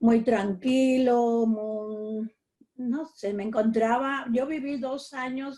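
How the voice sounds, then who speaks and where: A fairly high-pitched female voice, dark and mellow in tone. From Puerto Rico. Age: 80s+. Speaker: interviewee, senior community member. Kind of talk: interview. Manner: halting, with fillers.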